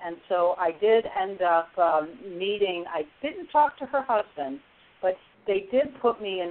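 With an American accent, a woman talks at a fairly slow pace in a normal speaking voice. Her intonation is lively. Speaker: resilience coach and author. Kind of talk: radio interview.

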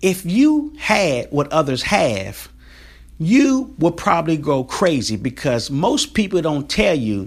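Speaking very slowly, a man uses a fairly high pitch. His pitch swings very widely. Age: 40s. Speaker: podcast host. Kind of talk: motivational monologue.

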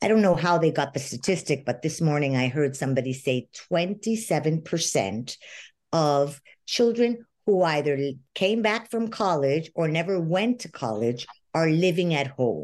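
The speech moves at a fairly slow pace with very wide pitch swings. The background is quiet. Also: woman, very deep, low pitch for a woman. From Venezuela. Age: 60s. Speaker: life coach. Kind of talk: interview.

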